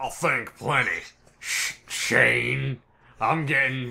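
A man puts on a raspy character voice and talks at a very slow pace. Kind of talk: comic amateur voice acting. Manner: hard, defiant.

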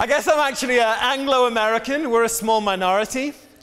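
This man has an English accent. His pace is fairly quick. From England. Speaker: guest preacher. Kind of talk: sermon. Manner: animated. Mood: jovial, joking. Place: church. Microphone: lapel.

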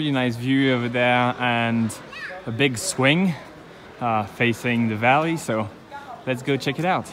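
The man speaks at a fairly slow pace, with ordinary pitch variation. Light background noise can be heard. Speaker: travel vlogger. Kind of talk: casual vlog chat. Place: street. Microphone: phone near.

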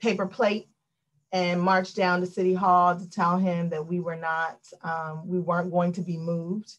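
Against a quiet background, a woman speaks at a fairly low pitch with monotone, flat intonation. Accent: American. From Washington, DC. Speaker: law professor. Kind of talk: lecture. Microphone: video call.

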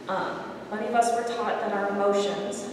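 Speech comes at a moderate pace amid strong room echo. Light background noise is audible. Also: woman. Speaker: visual artist. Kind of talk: artist lecture. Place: hall. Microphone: camera far.

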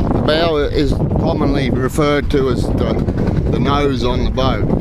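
Dry, echo-free male speech over loud background noise. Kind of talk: casual vlog chat. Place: boat. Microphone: phone near.

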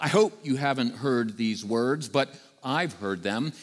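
A man talks at a fairly slow pace. The background is quiet. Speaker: priest preaching. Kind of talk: sermon. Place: church.

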